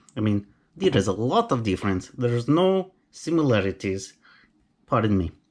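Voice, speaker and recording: The speaker has a Romanian accent and talks at a very slow pace. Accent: Romanian accent, noticeable. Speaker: knife collector YouTuber, carpenter. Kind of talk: unboxing video. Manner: casual, chatty.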